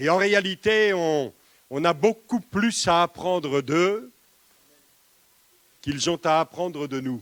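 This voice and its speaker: A man with a high-pitched voice speaks very slowly with lively intonation, in a dry, close sound with no echo. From eastern France. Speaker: pastor. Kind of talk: sermon. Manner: hesitant with repetitions.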